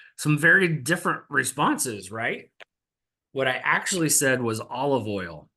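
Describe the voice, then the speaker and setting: Lively in intonation, a man with a fairly high pitch and a bright, sharp tone talks at a moderate pace over a quiet background. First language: American Sign Language. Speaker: mental health counselor and presenter. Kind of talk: webinar presentation. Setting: webinar.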